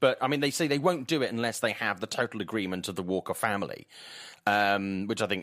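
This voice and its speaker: A man with a Welsh accent, a very fast pace and very wide pitch swings on a very clean recording with a silent background. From Swansea, South Wales. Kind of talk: casual chat.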